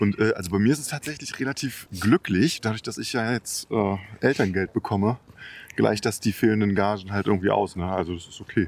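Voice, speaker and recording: A plain, everyday voice at a fairly quick pace, with big swings in loudness, ordinary pitch variation, and a very clean recording, silent background. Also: man, fairly low pitch for a man. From Leipzig, Saxony, Germany. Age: 40s. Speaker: DJ and music producer. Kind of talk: casual chat. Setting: outdoors, walking in a park.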